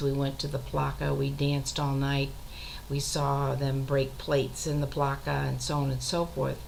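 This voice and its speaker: A woman at a fairly slow pace amid audible room echo. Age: 60s. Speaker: retired teacher and author keeping a web journal. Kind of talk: casual monologue video journal.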